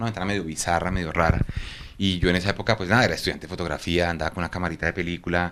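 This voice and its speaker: Fairly even intonation in a man's very deep, low-pitched voice. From Colombia, Bogotá. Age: 40s. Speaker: photographer. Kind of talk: interview. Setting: at his home.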